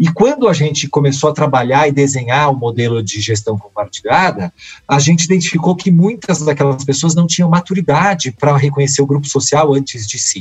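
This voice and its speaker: In an ordinary speaking voice, the speaker goes at a fairly quick pace with lively intonation and hardly any pauses. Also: man, fairly high pitch for a man. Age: 40s. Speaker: work researcher and speaker. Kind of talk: interview conversation.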